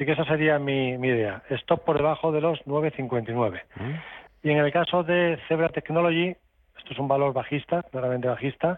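In an unremarkable speaking voice, a man talks at a moderate pace with fairly even intonation. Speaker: stock market analyst. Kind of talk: radio call-in advice.

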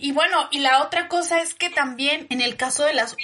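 Over noticeable background noise, a woman talks at a moderate pace in a raised, projected voice. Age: 30s. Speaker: podcast host, women's empowerment coach. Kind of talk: casual chat.

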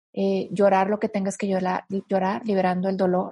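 A woman speaks in a dark, mellow tone that is somewhat breathy. Her intonation is monotone and flat, and the sound is dry and close with no echo. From northern Mexico. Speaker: guest speaker on emotional healing. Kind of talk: interview conversation.

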